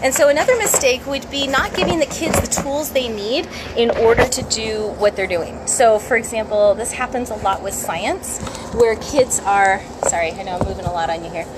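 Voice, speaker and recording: Over noticeable background noise, a woman speaks at a fairly high pitch. Her intonation is lively. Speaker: science educator and homeschool curriculum creator. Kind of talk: casual live stream talk. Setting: Facebook live video. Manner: fast.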